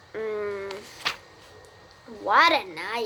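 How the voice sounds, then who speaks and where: A woman does a hoarse, put-on character voice at medium pitch. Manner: satisfied, gluttonous.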